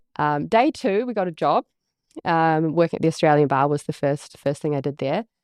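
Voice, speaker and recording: Speaking fairly quickly with lively intonation and a slight New Zealand accent, a woman has a very deep, low pitch, heard in a dry, close sound with no echo against a quiet background. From New Zealand, near Wellington. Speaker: business coach and agency CEO. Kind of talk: podcast interview.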